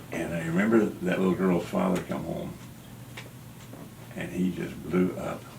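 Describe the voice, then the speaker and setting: In an American accent, a man with a very deep, low pitch talks at a moderate pace and with fairly even intonation, amid audible room echo and noticeable background noise. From Kansas, US Midwest. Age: 70s. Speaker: artist and civil rights activist. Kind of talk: interview. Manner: halting.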